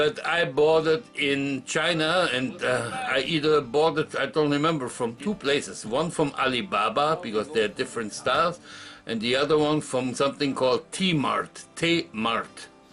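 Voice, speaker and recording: Noticeable background noise sits behind a man's voice. He speaks at a fairly slow pace with hardly any pauses. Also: ordinary pitch variation. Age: 60s. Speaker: retiree vlogger. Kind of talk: casual vlog monologue. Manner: halting.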